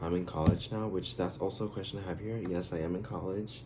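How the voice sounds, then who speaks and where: A man with an American accent speaks at a very deep, low pitch, his tone dark and mellow. His intonation is lively, and room echo is audible. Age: 20s. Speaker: YouTuber, college student. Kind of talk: casual vlog Q&A. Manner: hesitant, many fillers.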